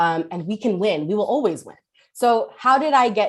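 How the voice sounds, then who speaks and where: A woman speaks with a New York accent against a quiet background. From New York City (Kensington, Brooklyn). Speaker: politician. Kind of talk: speech.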